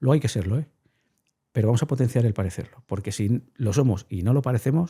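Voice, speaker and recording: At a very fast pace, a man talks at a medium pitch with ordinary pitch variation and a somewhat breathy sound. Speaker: behavioral science communicator. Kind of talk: interview conversation. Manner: animated.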